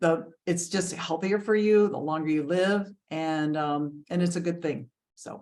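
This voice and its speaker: A woman with a normal speaking voice talks at a fairly low pitch and fairly slow pace, her intonation fairly even. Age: 60s. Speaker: health and wellness coach, co-host. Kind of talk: casual chat.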